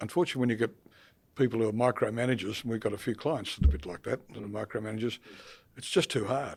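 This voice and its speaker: A man's medium-pitched voice with an Australian accent, very fast delivery, ordinary pitch variation and big swings in loudness. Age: old. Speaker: accounting firm partner and podcast co-host. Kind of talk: casual chat. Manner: halting.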